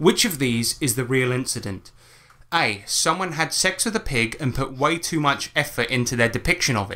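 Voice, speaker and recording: This man has a British accent and a fairly high pitch with a bright, sharp tone. His intonation is lively and his pace moderate. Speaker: podcast host. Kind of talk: casual chat. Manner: animated.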